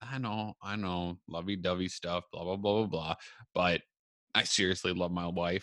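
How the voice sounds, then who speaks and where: A very deep, low-pitched man's voice with a bright, sharp tone and fairly even intonation comes across dry and close, with no echo. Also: moderate pace. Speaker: podcast host and entrepreneur. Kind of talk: solo casual monologue. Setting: home recording, video. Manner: many filler ums, hesitant.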